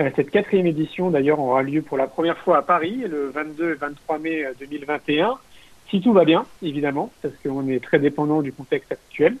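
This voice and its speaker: Here is a man with an unremarkable speaking voice and a fairly high pitch. He keeps a moderate pace with ordinary pitch variation. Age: 40s. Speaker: entrepreneur and filmmaker. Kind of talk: interview.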